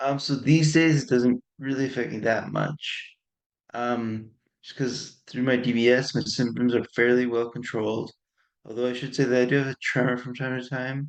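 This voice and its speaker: A man's medium-pitched voice with monotone, flat intonation at a moderate pace. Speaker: patient advocate living with Parkinson's. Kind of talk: interview.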